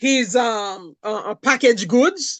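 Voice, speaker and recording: A woman with a fairly high pitch talks at a very slow pace. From Haiti (Jérémie). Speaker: food entrepreneur. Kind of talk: interview. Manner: animated.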